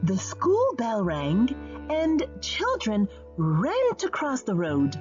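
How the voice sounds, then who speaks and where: With music playing in the background, a woman speaks at a very slow pace. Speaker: audiobook narrator. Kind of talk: children's storybook reading.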